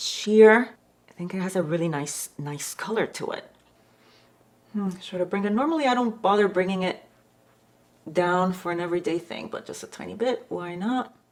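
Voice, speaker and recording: A woman at medium pitch with lively intonation, a moderate pace, big swings in loudness and long, frequent pauses. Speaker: beauty vlogger. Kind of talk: makeup tutorial.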